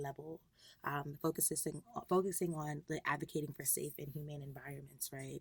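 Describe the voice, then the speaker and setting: With an American accent, a woman speaks at a moderate pace in a somewhat breathy voice, her pitch very deep and low and her intonation fairly even. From New York, Long Island. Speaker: environmental policy advocate. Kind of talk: interview.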